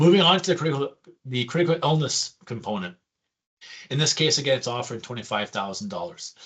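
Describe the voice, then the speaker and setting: A man speaks at a very fast pace and a fairly high pitch. His pitch swings very widely. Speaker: insurance benefits advisor. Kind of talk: product presentation. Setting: screen-share video presentation.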